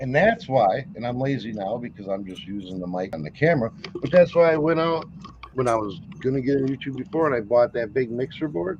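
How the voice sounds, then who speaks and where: A man talks at a fairly quick pace with lively intonation over noticeable background noise. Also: medium pitch for a man. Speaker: livestream host, reseller. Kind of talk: casual chat. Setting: livestream. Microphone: built-in camera microphone.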